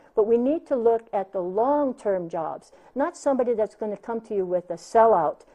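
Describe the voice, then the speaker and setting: Lively in intonation, a woman with a Hawaiian accent and a fairly high pitch speaks at a moderate pace. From Hawaii, Big Island. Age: 60s. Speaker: county council candidate. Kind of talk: interview.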